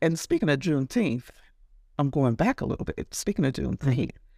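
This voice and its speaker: A woman's voice with very wide pitch swings in a very clean recording with a silent background. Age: 60s. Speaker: hairstylist and salon owner. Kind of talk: casual interview conversation.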